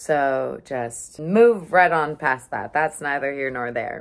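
Against a quiet background, a woman speaks at a fairly slow pace with lively intonation. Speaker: vlogger. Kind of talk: casual vlog chat. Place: home room. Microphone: phone near.

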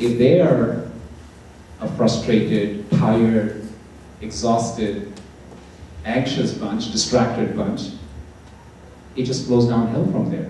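Over noticeable background noise, a man speaks very slowly at a medium pitch with ordinary pitch variation and long, frequent pauses. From India. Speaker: motivational speaker. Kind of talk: talk to live audience. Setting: college hall with audience.

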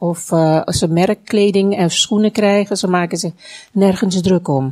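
At a fairly slow pace, a woman with a plain, everyday voice speaks with fairly even intonation. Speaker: Dutch interpreter. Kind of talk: consecutive interpreting of a sermon into Dutch. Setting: church.

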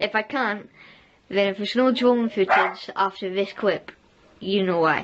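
Over noticeable background noise, a woman with a Scottish accent speaks fairly slowly at medium pitch with ordinary pitch variation. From Scotland. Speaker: vlogger. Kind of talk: casual vlog talk. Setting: outdoors on a walk. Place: kitchen. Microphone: phone near.

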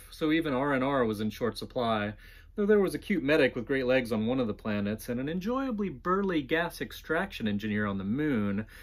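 A man with an ordinary speaking voice talks at a fairly quick pace, his pitch fairly high. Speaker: author. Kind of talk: audiobook-style fiction reading. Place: home room.

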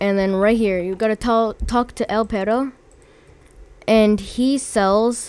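A woman's fairly high voice, very slow, with fairly even intonation. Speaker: gaming video creator. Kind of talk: casual gameplay tutorial narration. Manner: bored-sounding, flat.

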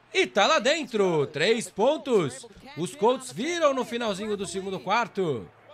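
A man's high-pitched voice with very wide pitch swings at a fairly slow pace, over noticeable background noise. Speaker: sports commentator. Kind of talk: live sports commentary over game highlights.

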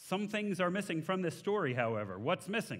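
A man with a Texan accent, fairly quick pace, very wide pitch swings and vocal fry, over a quiet background. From Texas. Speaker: guest preacher. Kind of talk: sermon. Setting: church. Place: church. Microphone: headset.

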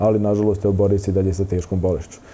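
This man talks at a very fast pace in a dark, mellow tone with monotone, flat intonation. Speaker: guest. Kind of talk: interview answer. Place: studio. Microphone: lapel.

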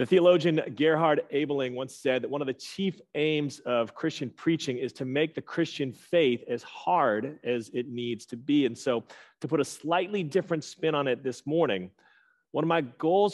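A man keeps a moderate pace while the background stays quiet. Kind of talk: sermon. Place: church.

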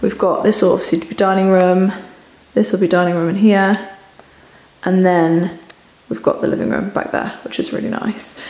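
Audible room echo surrounds a woman speaking at a moderate pace. Her pitch variation is ordinary, and she takes long, frequent pauses. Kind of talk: casual vlog chat. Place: home room. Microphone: phone near.

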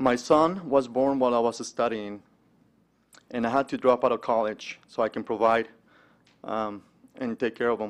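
A man with a Spanish accent speaks at a moderate pace with fairly even intonation. He leaves long, frequent pauses. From Mexico. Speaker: entrepreneur and investment manager giving a testimony. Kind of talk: speech at a conference breakfast. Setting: stage with audience. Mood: earnest, personal. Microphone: podium.

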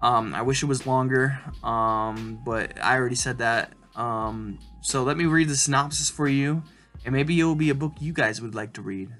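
A man speaks at a moderate pace with ordinary pitch variation. Faint music plays in the background. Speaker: book reviewer. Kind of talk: casual vlog chat. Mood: relaxed, upbeat. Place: home room. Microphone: webcam.

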